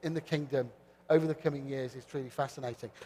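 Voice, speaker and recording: A man with a British accent, fairly high pitch and fairly even intonation. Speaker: panel moderator. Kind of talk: conference panel moderation. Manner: hesitant fillers.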